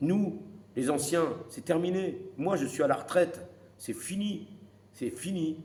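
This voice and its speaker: A man with a high pitch talks at a very slow pace with long, frequent pauses and ordinary pitch variation. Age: 60s. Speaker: retired boxing coach. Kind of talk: opinion monologue to camera. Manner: animated; halting.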